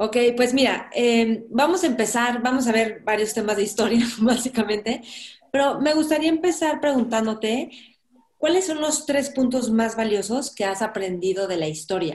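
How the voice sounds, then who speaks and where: At a moderate pace, a woman talks with a fairly high pitch and lively intonation. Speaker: podcast host. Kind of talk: interview conversation.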